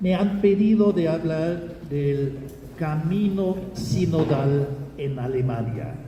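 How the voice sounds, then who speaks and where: A man with a German accent speaks at a very slow pace with ordinary pitch variation, amid noticeable background noise and audible room echo. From Germany. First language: German (speaking Spanish). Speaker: Jesuit priest, theologian. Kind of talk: lecture. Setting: auditorium with audience. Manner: halting, many hesitations.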